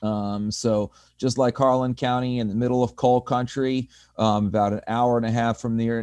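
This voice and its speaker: A man with an American accent and a medium-pitched, dark, mellow tone, in monotone, flat intonation at a moderate pace against a quiet background. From US Northeast. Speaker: community organizer. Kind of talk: panel discussion.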